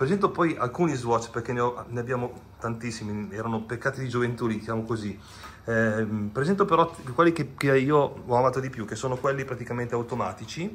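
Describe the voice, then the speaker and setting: The speaker talks at a fairly quick pace in an unremarkable speaking voice with ordinary pitch variation, over light background noise. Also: man, medium pitch for a man. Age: 50s. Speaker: watch collector. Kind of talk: casual video presentation. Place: home room. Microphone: video call.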